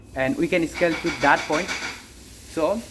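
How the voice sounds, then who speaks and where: A man is speaking. He has a non-native accent. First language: not English. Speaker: online business creator. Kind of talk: unscripted monologue. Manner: halting.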